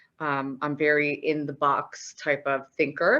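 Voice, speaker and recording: Speaking with a very deep, low pitch, the woman has a bright, sharp tone. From Newfoundland, Canada (St. John's). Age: 30s. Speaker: accountant and auditor. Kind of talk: presentation to students.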